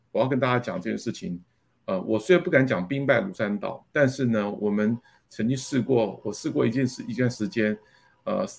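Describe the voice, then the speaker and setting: A man at medium pitch, fairly quick, with lively intonation. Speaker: company general manager. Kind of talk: interview. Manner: halting with many fillers.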